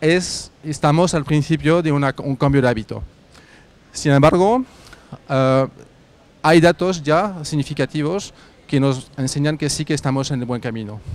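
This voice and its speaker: A man with a French accent talks in a fairly high pitch, using ordinary pitch variation. His speech has long, frequent pauses. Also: fairly slow pace. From France. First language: French (speaking Spanish). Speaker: carpooling startup representative. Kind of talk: workshop presentation. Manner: hesitant, many fillers.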